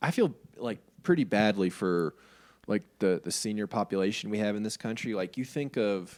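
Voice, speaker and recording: Lively intonation marks this man's fairly low voice with an American accent. He keeps a moderate pace. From New York City. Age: young. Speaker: fitness podcast co-host. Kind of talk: casual chat. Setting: video call. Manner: animated.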